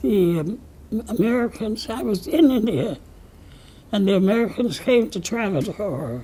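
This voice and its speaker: At a fairly slow pace, a woman of medium pitch speaks with very wide pitch swings. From Pennsylvania. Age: 80s+. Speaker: civil rights leader. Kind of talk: interview answer.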